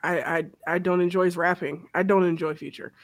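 On a very clean recording with a silent background, the words come at a fairly quick pace. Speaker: podcast host. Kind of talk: casual chat. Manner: animated.

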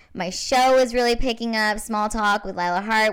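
With an American accent and an ordinary speaking voice, a woman speaks at a fairly high pitch and moderate pace with ordinary pitch variation on a very clean recording with a silent background. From Washington State. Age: 30s. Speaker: stand-up comedian and show host. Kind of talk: casual chat.

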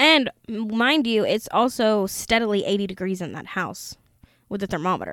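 A woman in a normal speaking voice, fairly high in pitch with ordinary variation, at a moderate pace on a very clean recording with a silent background. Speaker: podcast host. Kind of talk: true-crime horror narration, reading aloud from a book.

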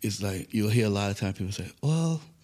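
Speaking at a fairly quick pace, a man with an American accent has a dark, mellow tone and a fairly low pitch. His voice is somewhat breathy, with ordinary pitch variation. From New York City (Bronx). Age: 50s. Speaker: management consultant and former law enforcement officer. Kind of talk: interview. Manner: conversational.

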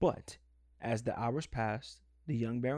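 Here is plain reading aloud.

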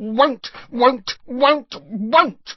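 This is a put-on character voice. It sounds croaky. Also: female-sounding voice. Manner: reluctant, repetitive.

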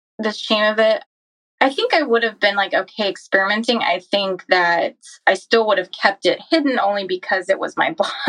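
Her voice sits fairly high, and her intonation is lively. She is a woman with an ordinary speaking voice. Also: fairly quick pace. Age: 30s. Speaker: physician assistant. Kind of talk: personal testimony in interview.

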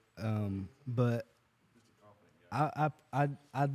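A man's dark, mellow tone in a dry, close sound with no echo, on a very clean recording with a silent background. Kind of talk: casual chat and prayer. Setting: recording in a shop with small audience.

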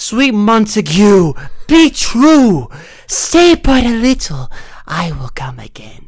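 In a raspy, theatrical put-on character voice, a female-sounding speaker talks very slowly at a fairly high pitch. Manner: theatrical, comic.

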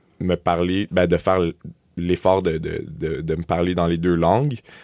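In a very clean recording with a silent background, a man with a Quebec accent speaks at a fairly slow pace in a very deep, low pitch. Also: dry, close sound with no echo. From Montreal, West Island (raised), born Sudbury Ontario. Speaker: student newspaper editor. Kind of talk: interview. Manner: halting, repeats words.

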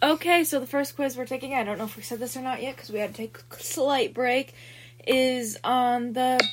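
Over noticeable background noise, a woman talks at a fairly quick pace and high pitch with ordinary pitch variation. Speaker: podcast host. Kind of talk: casual chat.

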